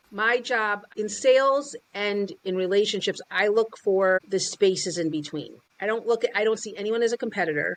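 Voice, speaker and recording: This woman speaks at a medium pitch and a moderate pace. Her pitch varies in an ordinary way, and she leaves hardly any pauses. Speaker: sales and business coach. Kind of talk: interview. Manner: loud; animated.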